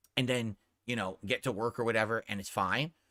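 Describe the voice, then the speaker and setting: A man speaks loudly at medium pitch with a bright, sharp tone. The sound is dry and close, with no echo. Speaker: streamer. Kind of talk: casual chat. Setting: home streaming room.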